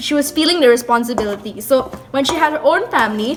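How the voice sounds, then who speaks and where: A high-pitched woman at a fairly quick pace, with noticeable background noise. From Malaysia. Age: young. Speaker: vlogger. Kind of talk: casual talk to camera. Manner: chatty.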